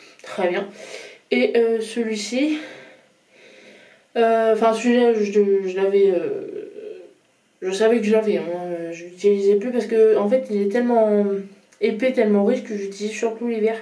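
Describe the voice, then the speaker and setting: Amid audible room echo, a woman with a fairly high pitch talks at a fairly slow pace with fairly even intonation and long, frequent pauses. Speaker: vlogger. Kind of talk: casual vlog talk to camera. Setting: at home in front of a mirror. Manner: hesitant, many fillers.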